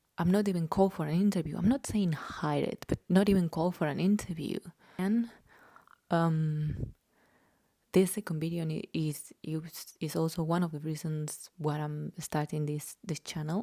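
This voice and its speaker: At a moderate pace, a woman with a slight Spanish accent speaks in a fairly low pitch and a dark, mellow tone, with ordinary pitch variation and a dry, close sound with no echo. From Spain. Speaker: journalist and vlogger. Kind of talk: casual vlog monologue. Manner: hesitant, many filler ums.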